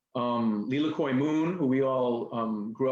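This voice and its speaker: The speaker is a man. He talks with a New York accent. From New York City, Queens. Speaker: nonprofit executive director and activist. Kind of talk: interview talk.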